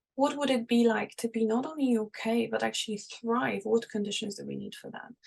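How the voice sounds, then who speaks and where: Her volume rises and falls sharply as the woman talks at a fairly brisk pace. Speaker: seminar presenter on liberation psychology. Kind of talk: lecture. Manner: fast.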